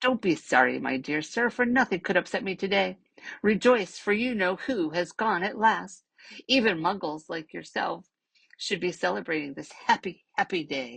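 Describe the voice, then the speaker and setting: A squeaky, female-sounding put-on character voice sits at middle pitch. It moves at a moderate pace over a quiet background. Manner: overjoyed, exuberant.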